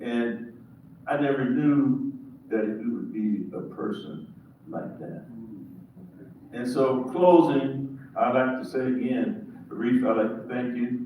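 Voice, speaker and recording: With lively intonation, a man speaks at a very slow pace amid noticeable background noise and audible room echo. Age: 70s. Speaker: pastor. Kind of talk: audience remarks at panel event. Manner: halting.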